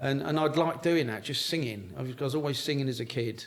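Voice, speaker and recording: A man talks in a London accent at a fairly quick pace. His pitch variation is ordinary, and there is noticeable background noise. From South East London. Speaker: singer-songwriter. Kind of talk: casual interview chat. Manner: halting, many repeats and fillers.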